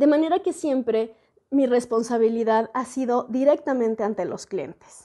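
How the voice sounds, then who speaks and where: Against a quiet background, a woman with a high voice and a dark, mellow tone speaks at a moderate pace with lively intonation. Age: 40s. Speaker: educational video host and translator; educational video host. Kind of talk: educational monologue. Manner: reflective, conversational. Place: home room. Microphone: earbuds.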